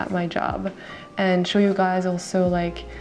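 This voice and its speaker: Music plays in the background as a woman speaks quietly and fairly slowly with a French accent. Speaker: makeup artist. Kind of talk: makeup tutorial. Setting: at home. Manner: quiet, talking low.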